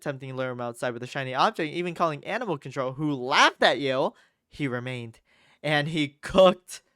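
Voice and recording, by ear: With ordinary pitch variation and a quiet background, the text is read aloud in a natural voice.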